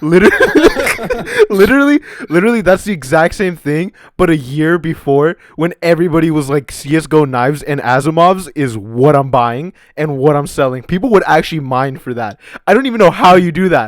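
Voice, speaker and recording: An animated man with a fairly high pitch, lively intonation and a fairly quick pace. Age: 20s. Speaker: podcast host. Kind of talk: casual chat.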